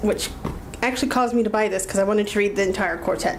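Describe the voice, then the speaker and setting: Noticeable background noise and audible room echo fill the recording. A woman talks, her pitch varying in an ordinary way. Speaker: book vlogger. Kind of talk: casual vlog monologue. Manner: fast; filler-heavy, many ums.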